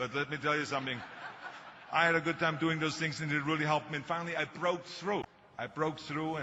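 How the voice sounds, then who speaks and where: A man at a very fast pace, fairly high in pitch, with monotone, flat intonation over noticeable background noise. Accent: strong non-native. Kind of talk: motivational, storytelling.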